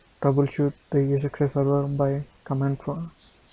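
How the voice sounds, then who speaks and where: The delivery is at a moderate pace, with a non-native accent. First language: not English. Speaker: tech tutorial presenter. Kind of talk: tutorial. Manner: halting, self-correcting.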